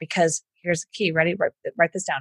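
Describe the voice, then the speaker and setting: A woman speaks with an American accent in a somewhat breathy voice. The sound is dry and close, with no echo. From Houston, Texas. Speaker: entrepreneur and business coach. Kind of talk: interview.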